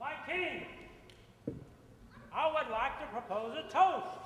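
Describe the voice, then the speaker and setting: A man puts on a character voice at an extremely high pitch, speaking at a fairly slow pace with a clear echo. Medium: stage play. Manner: pompous, long-winded.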